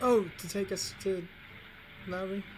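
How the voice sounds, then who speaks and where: Over clear background noise, a female-sounding voice at medium pitch performs a put-on character voice. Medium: actual play. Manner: hesitant, mild.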